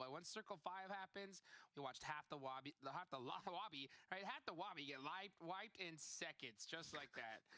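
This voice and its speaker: A man talks in a high-pitched voice with a bright, sharp tone and very wide pitch swings. The sound is dry and close, with no echo. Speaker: esports caster. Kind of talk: live commentary.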